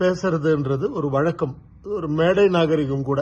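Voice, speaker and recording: A man's voice, high in pitch. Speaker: film actor. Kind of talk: tribute speech to camera.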